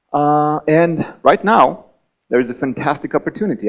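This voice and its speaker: A man talks with a Bulgarian accent at a moderate pace. His pitch is fairly high, and his intonation is lively. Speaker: game designer. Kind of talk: conference talk.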